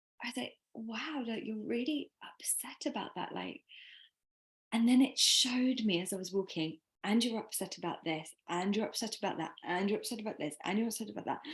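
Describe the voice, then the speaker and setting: Somewhat breathy and fairly high, a woman's voice moves at a fairly quick pace with lively intonation. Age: 40s. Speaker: podcast host. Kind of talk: casual chat.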